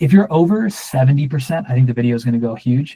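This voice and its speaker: In a dry, close sound with no echo, a somewhat breathy voice with a dark, mellow tone moves at a fairly quick pace. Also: man. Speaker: workshop instructor. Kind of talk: Q&A session in a workshop. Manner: casual, with many filler words and false starts.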